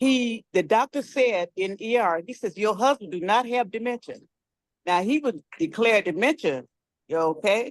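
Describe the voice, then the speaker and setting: A woman with an unremarkable speaking voice talks at a moderate pace, her fairly high pitch carried by lively intonation in a dry, close sound with no echo. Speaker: caller giving testimony. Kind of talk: testimony.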